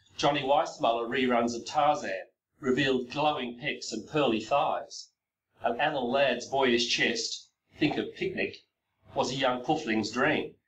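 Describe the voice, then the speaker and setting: A man at medium pitch with fairly even intonation. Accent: Australian. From Australia. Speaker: professor. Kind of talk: lecture. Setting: recorded video presentation. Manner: reading from a text.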